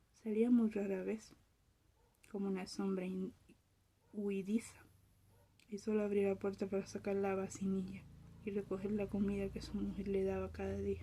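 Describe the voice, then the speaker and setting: With a calm, somewhat breathy, dark and mellow tone at medium pitch, a woman speaks at a moderate pace in monotone, flat intonation with long, frequent pauses. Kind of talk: ASMR soft-spoken reading of a short story. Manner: soft-spoken, whispery, calm.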